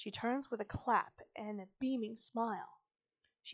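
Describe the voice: The reading aloud is plain, and the background stays quiet.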